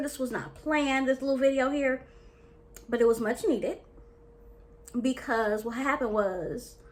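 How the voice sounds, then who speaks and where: Against noticeable background noise, a woman speaks in an animated tone at a high pitch and a fairly slow pace. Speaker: dating and life coach. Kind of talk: casual vlog talk to camera.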